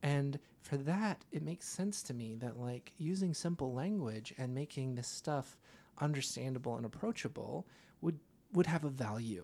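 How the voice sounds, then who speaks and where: His tone is dark and mellow, his pitch fairly high. This man's intonation is lively. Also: moderate pace. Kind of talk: casual conversation, podcast intro. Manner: self-deprecating, casual, laughs often.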